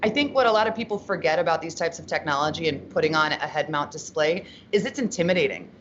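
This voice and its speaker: A woman with an American accent at a very fast pace, her intonation lively, over noticeable background noise. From Pittsburgh, Pennsylvania, US Northeast. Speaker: XR experience presenter. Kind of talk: podcast interview. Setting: live stream. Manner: loud.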